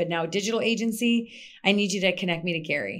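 On a very clean recording with a silent background, a woman speaks at a medium pitch with an American accent. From US Midwest, Minnesota. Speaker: PR consultant. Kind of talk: interview.

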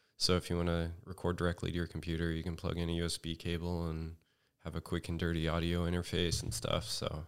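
In a very clean recording with a silent background, a man with an American accent talks very fast at a very deep, low pitch, his intonation monotone and flat. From Northern California, Redding. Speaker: film sound engineer. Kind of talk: casual chat. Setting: studio.

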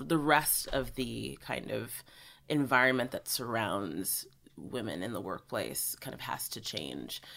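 Very deep and low in pitch, a woman talks at a fairly slow pace with vocal fry. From US and South Africa. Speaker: doula and women's health educator. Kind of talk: interview.

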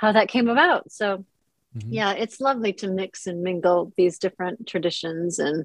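Using lively intonation, a woman with an American accent talks at a moderate pace and medium pitch in a dry, close sound with no echo. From US Midwest, Minnesota. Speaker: author. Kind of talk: casual chat.

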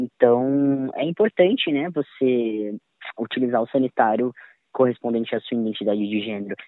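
He talks in an ordinary speaking voice with a medium pitch. His pace is moderate, and his pitch varies in an ordinary way. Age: 20s. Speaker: music educator and violinist. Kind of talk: testimony.

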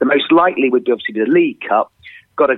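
A man talks with lively intonation. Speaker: football pundit. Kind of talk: casual chat.

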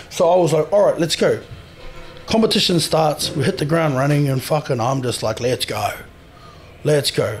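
Over background music, a man talks at a fairly quick pace with a New Zealand accent. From New Zealand, Māori. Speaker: professional strongman. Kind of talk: casual interview chat. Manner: animated.

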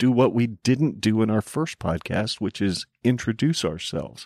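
An unremarkable speaking voice from a man with an American accent, lively intonation and a moderate pace, in a very clean recording with a silent background and a dry, close sound with no echo. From Arizona. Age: 50s. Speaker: podcast co-host. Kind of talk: casual chat.

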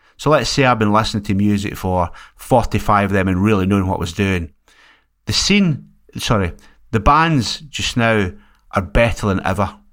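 A man with a Scottish accent, fairly low in pitch, at a moderate pace with ordinary pitch variation, on a very clean recording against a silent background. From Scotland. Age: 60s. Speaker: music label owner. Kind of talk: casual chat.

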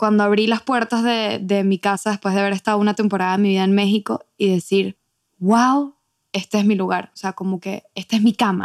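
In a Venezuelan accent, a woman talks at a fairly quick pace and medium pitch with monotone, flat intonation. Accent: Venezuelan Spanish, kept. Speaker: podcast co-host, immigrant. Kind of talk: casual chat.

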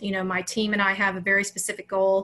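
In an American accent, a woman with a bright, sharp tone talks at a fairly quick pace. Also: very clean recording, silent background. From US South, Alabama. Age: 40s. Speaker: mindset coach. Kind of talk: interview.

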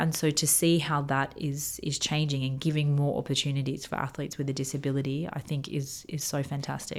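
A woman's very deep, low voice in an Australian accent, fairly quick with hardly any pauses and monotone, flat intonation. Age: 30s. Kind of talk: interview.

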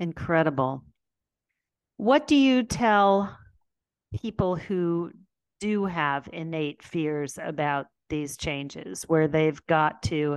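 A woman speaks at a very slow pace, her pitch very deep and low. Her intonation is lively, broken by long, frequent pauses. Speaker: podcast host and community founder. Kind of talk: interview. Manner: animated.

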